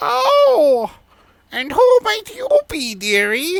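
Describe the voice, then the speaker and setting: The speaker uses a put-on character voice with a high pitch. The pace is very slow. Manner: sweetly inquisitive.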